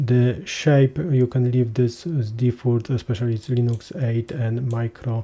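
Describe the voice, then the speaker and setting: At a moderate pace, a man speaks in a medium pitch with fairly even intonation, his voice somewhat breathy and dark and mellow in tone. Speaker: cloud database tutorial presenter. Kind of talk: tutorial. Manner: hesitant, many filler sounds.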